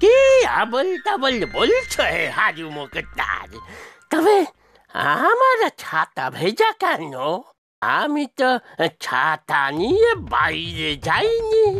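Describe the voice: A cartoonish character voice at a very slow pace.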